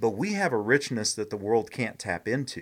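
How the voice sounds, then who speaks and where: In a normal speaking voice, a man of medium pitch talks at a fairly quick pace with lively intonation, captured in a very clean recording against a silent background. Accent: American. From Indianapolis, Indiana, US Midwest. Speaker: minister and missionary. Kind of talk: testimony.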